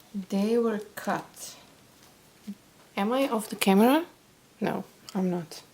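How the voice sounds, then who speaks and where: With a non-native accent, a woman speaks at a very slow pace in a fairly high pitch, using ordinary pitch variation and long, frequent pauses. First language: not English. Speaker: card-making crafter. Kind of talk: craft tutorial. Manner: halting, with fillers.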